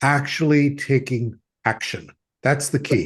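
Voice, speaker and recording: A man speaks at a moderate pace with vocal fry. His pitch sits fairly high. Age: 70s. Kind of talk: podcast interview.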